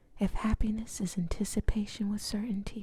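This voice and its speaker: Someone speaks at a moderate speed. The delivery is a whisper. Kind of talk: whispered audiobook-style reading of a novel. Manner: whispered, soft.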